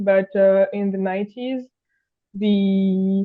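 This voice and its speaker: The speaker has a French accent. The pace is very slow. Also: woman. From France. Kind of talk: interview. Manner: halting, many fillers.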